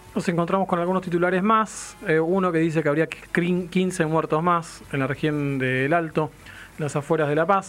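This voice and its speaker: This man's voice sits high in pitch, with ordinary pitch variation, and his delivery is fairly slow. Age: 40s. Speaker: radio host. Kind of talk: radio talk show.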